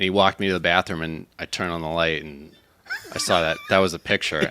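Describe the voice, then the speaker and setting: A man delivers his words at a fairly quick pace as noticeable background noise plays behind him. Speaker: podcast guest, bar owner. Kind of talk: casual chat.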